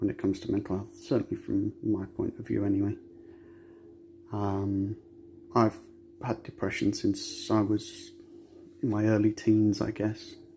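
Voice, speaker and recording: Soft-spoken, a man talks at a fairly slow pace. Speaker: metal detectorist sharing mental health story. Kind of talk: personal testimony. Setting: home recording, child asleep on sofa.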